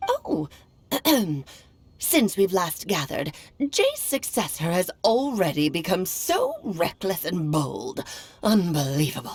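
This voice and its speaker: A woman puts on a character voice at medium pitch, with very wide pitch swings. She speaks at a fairly slow pace with long, frequent pauses. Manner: haughty, scolding.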